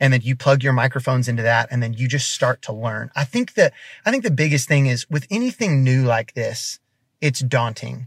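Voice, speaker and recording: At a fairly quick pace, a man with a medium pitch speaks in a somewhat breathy voice, recorded dry and close with no echo. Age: 30s. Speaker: worship leader and co-pastor. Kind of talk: casual interview.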